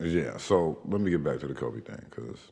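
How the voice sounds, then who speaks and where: A man speaks with vocal fry. His pitch variation is ordinary. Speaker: podcast host. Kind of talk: casual chat.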